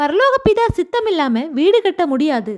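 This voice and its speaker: Her pitch extremely high, a woman speaks with very wide pitch swings. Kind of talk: news-style religious narration.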